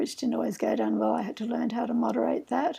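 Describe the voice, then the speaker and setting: A woman is speaking. She has an Australian accent. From Australia, Sydney. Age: 70s. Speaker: herbalist. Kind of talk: casual chat.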